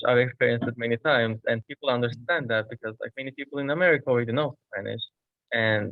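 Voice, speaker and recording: A man with a Turkish accent speaks at a medium pitch. His pace is fairly quick and his intonation fairly even. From Turkey. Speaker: international student. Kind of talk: panel discussion.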